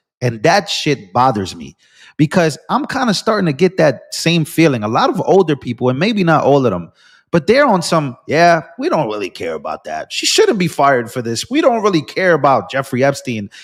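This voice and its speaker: Animated and at a moderate pace, a man talks in a fairly high pitch with very wide pitch swings and vocal fry. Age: 20s. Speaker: political live streamer. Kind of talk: live stream commentary.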